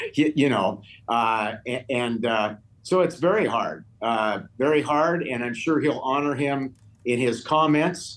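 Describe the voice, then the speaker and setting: At a fairly slow pace, a man talks at a medium pitch with lively intonation. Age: 60s. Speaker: investment manager. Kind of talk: TV news interview. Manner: halting.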